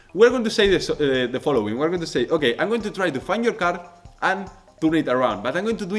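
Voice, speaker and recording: With noticeable background noise behind him, a man with a Spanish accent speaks in a high pitch that swings very widely. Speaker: magician. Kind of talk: tutorial. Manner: halting.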